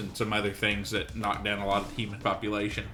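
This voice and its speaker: A man speaks very fast over noticeable background noise. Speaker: gaming youtuber. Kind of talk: let's play commentary. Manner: soft-spoken at times; hesitant, many fillers.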